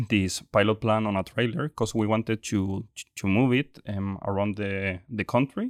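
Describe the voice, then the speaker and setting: A man with a Chilean accent, fairly low pitch, fairly even intonation and a fairly slow pace, in a dry, close sound with no echo over a quiet background. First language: Spanish. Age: 20s. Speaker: startup executive. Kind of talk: interview. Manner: halting.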